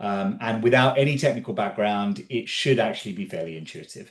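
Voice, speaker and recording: With an English accent, a man speaks at a moderate pace using ordinary pitch variation. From England. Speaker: physician and health tech entrepreneur, lecturer. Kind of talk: conference talk. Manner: casual with frequent fillers.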